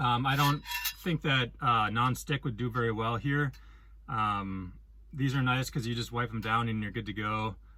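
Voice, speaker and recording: Noticeable background noise runs under this recording. A man with a Wisconsin accent talks at a moderate pace with ordinary pitch variation. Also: medium pitch for a man. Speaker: van life vlogger. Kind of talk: casual vlog talk. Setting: inside a van. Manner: hesitant, many ums.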